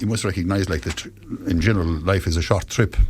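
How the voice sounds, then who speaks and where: A man talks very fast in an Irish accent. His pitch is fairly low, with ordinary pitch variation. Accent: Irish (Clare). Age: 60s. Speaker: cancer patient ambassador, retired nurse. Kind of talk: radio interview.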